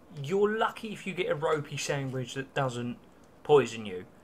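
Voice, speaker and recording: With light background noise, a man talks at a moderate pace. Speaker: vlogger. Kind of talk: casual vlog chat. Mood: jokey, relaxed. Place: home room. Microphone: phone near.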